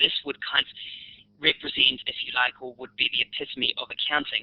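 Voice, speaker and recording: A man with a New Zealand accent speaks at a moderate pace. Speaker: university lecturer. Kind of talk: webinar presentation. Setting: online webinar. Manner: hesitant, with fillers and repetitions.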